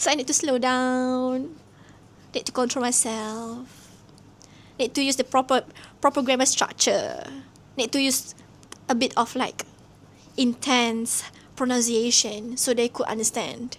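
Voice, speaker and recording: A woman with a high pitch speaks at a fairly slow pace. Her intonation is monotone and flat, broken by long, frequent pauses. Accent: Malaysian. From Malaysia, Terengganu (east coast). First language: Malay. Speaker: vlogger. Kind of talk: casual reflective monologue.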